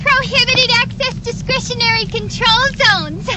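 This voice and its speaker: Squeaky and extremely high, a woman's put-on character voice moves at a moderate pace. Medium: machinima. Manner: crisp, quick.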